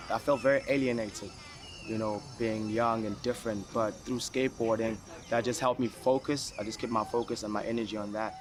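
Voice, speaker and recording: A man with a Zulu accent talks at a fairly quick pace. His medium-pitched voice has a monotone, flat intonation. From South Africa, Durban. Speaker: professional skateboarder. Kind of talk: documentary interview. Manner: casual.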